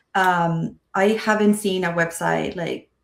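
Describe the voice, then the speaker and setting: A woman talks with vocal fry. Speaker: school choice policy advocate. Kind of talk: interview.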